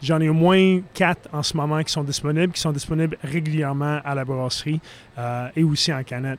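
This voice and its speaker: The speaker has a normal speaking voice and fairly even intonation. The pace is fairly slow. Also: man. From Philadelphia, US. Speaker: brewer. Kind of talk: casual chat.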